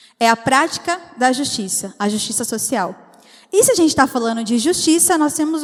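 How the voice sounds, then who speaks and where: A high-pitched woman's voice at a fairly quick pace. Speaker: preacher. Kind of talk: sermon. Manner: fast.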